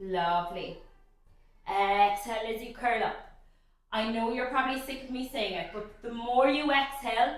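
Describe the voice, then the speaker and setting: A woman speaks in a high voice at a moderate pace, her tone upbeat and her pitch varying in an ordinary way. Her loudness swings widely, and the room echo is audible. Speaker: pilates instructor. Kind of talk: guided workout instruction. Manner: encouraging, upbeat.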